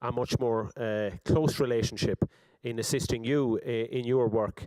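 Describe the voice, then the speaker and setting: A man's medium-pitched, dark, mellow voice with an Irish accent and fairly even intonation, in a dry, close sound with no echo. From Ireland. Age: 40s. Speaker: politician. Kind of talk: speech. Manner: halting, many fillers and repetitions.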